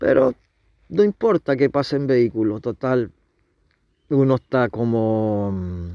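Very slow and broken by long, frequent pauses, a man speaks in a dark, mellow tone. The sound is dry and close with no echo, over a quiet background. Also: medium pitch for a man. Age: 70s. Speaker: tarot reader and astrology presenter. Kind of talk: monologue reading aloud an astrology text. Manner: halting, with fillers and self-corrections.

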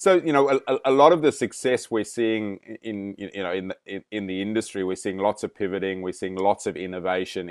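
A man with a plain, everyday voice, fairly low in pitch, at a fairly quick pace, with ordinary pitch variation. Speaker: podcast host. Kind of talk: interview.

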